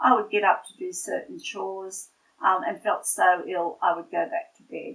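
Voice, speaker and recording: A woman is talking. She speaks with an Australian accent. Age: 60s. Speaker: patient giving testimonial, nurse. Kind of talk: testimony. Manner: halting, many fillers.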